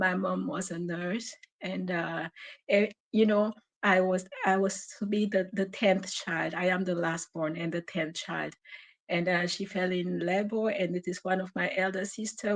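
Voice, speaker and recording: A woman speaks in a French accent at a fairly slow pace. Her intonation stays fairly even. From Cameroon. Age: 40s. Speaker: caller. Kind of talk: testimony. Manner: halting.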